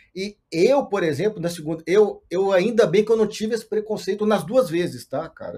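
This man has a high pitch and a dark, mellow tone. He talks at a moderate pace. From Brazil, Minas Gerais (Montes Claros). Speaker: control and automation engineer in tech. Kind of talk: podcast interview. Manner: halting, many repetitions.

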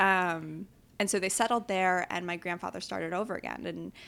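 Using a normal speaking voice, a woman talks at a fairly quick pace in a fairly low pitch with fairly even intonation, on a very clean recording with a silent background. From New York City, Upper West Side. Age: 20s. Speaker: entrepreneur. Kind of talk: casual interview. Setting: home kitchen.

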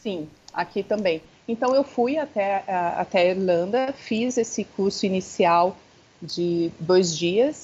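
With lively intonation, a woman of medium pitch speaks at a very slow pace. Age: 30s. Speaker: founder of a Montessori centre for the elderly. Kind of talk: interview. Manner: hesitant, many fillers.

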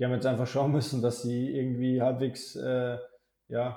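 A man with a medium pitch talks in a monotone, flat intonation and a dark, mellow tone. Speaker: basketball podcast co-host. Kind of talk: casual chat. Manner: halting, frequent fillers.

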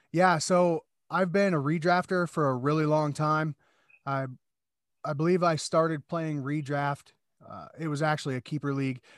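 A man with a Midwestern American accent talks at a moderate pace with a fairly high pitch and fairly even intonation. The recording is very clean, dry and close, with no echo and a silent background. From Iowa, US Midwest. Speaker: podcast guest, fantasy football player. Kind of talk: casual chat.

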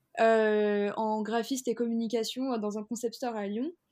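A woman's unremarkable speaking voice, fairly high in pitch, at a fairly slow pace. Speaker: fashion entrepreneur. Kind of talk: interview.

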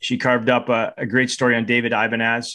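At a fairly quick pace, a man with a Canadian accent talks in an ordinary speaking voice of medium pitch. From Canada. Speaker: podcast co-host and rugby coach. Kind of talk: casual podcast chat.

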